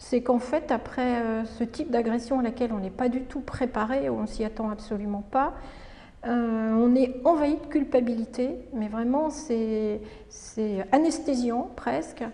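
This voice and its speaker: Pitch variation is ordinary and the pace fairly slow. The tone sounds dark and mellow. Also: woman, high pitch for a woman. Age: 60s. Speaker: retired doctor. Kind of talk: testimony. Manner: halting, frequent hesitations.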